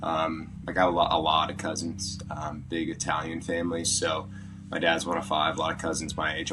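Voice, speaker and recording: A man with an American accent speaks at a very deep, low pitch. Audible room echo and noticeable background noise are present. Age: 20s. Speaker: podcast guest. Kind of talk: casual interview chat. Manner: halting, many fillers.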